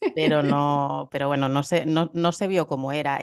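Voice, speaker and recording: A woman speaks over noticeable background noise. Her intonation stays fairly even. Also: dry, close sound with no echo. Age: 40s. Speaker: psychologist. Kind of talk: interview.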